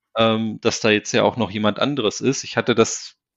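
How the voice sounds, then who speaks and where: At moderate speed and medium pitch, a man with an unremarkable speaking voice talks with fairly even intonation. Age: 40s. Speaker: single father. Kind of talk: interview. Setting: virtual podcast studio, remote call.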